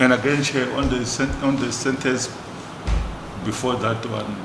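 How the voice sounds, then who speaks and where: Through audible room echo and noticeable background noise, a man talks at a medium pitch with flat, monotone intonation. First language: not English. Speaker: traditional leaders' house representative. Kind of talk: committee meeting discussion. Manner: halting with repetitions.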